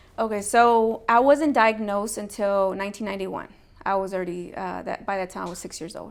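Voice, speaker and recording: A woman with an American accent talks at a fairly quick pace and medium pitch with ordinary pitch variation. Her loudness swings widely. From Texas, Rio Grande Valley (Harlingen). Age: 30s. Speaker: HIV peer advocate. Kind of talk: interview. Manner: hesitant, many fillers.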